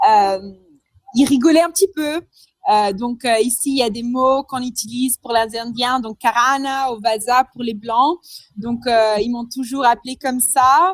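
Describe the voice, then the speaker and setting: Dry and close with no echo, a high-pitched woman's voice moves at a fairly slow pace with ordinary pitch variation. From Madagascar. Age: 20s. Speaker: entrepreneur. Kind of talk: interview. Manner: hesitant, many fillers.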